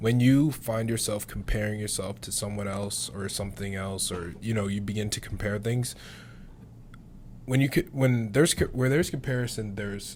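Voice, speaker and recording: Using a normal speaking voice, a man with an American accent talks at a moderate pace and a fairly low pitch, with ordinary pitch variation. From Syracuse, New York. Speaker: podcast host and college basketball player. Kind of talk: casual chat.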